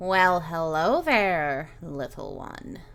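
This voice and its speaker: Put-on character voice, female-sounding and fairly low in pitch. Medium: actual play. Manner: gentle, warm, fatherly.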